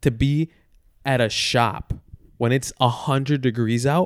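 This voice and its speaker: Very even in loudness, the speech moves at a fairly slow pace with long, frequent pauses and a dry, close sound with no echo. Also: man. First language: Spanish. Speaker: podcast co-host. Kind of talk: casual chat.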